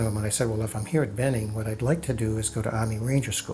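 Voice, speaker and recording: Over noticeable background noise, a man with an American accent speaks in fairly even intonation. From Massachusetts, Boston area. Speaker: war veteran. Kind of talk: testimony. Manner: halting.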